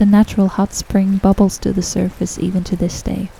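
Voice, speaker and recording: At a moderate pace, a woman speaks with noticeable background noise. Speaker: podcast host. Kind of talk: scripted travel narration.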